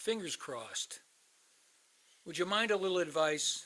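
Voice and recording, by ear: Using a put-on character voice with a bright, sharp tone, a man talks at a fairly slow pace, his pitch swinging widely. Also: fairly high pitch for a man.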